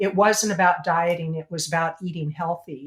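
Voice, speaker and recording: A woman speaks in an ordinary speaking voice at a moderate pace, her intonation fairly even. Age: 60s. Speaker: plant-based educator and marketing consultant. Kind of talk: interview.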